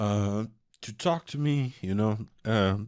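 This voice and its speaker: A man with a Portuguese accent, fairly low in pitch with ordinary pitch variation, on a very clean recording with a silent background and a dry, close sound with no echo. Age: 20s. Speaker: vlogger. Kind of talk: personal confession. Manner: halting.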